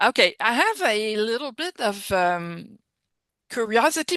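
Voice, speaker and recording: Speaking with a French accent, a woman has a fairly high pitch, a bright, sharp tone and lively intonation at a fairly slow pace. The sound is dry and close with no echo, over a quiet background. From France. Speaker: occupational therapist. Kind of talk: video call Q&A question.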